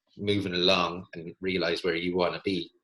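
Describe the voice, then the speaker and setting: A man with an Irish accent speaks in a very deep, low pitch. His tone is bright and sharp, his intonation monotone and flat. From Ireland. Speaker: physiotherapist and podcast host. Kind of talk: casual conversation.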